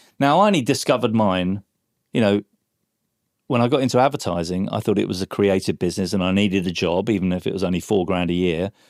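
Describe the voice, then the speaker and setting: A man with an English accent, fairly low in pitch with ordinary pitch variation, talking at a very fast pace on a very clean recording with a silent background. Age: 60s. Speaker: former advertising creative. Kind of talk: podcast interview. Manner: animated.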